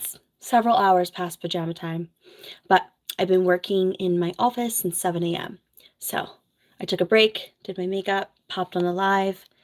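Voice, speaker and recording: On a very clean recording with a silent background, a woman of medium pitch speaks at a moderate pace with fairly even intonation. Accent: American. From New Jersey. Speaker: nurse and content creator. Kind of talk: casual livestream chat. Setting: home office livestream. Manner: soft-spoken.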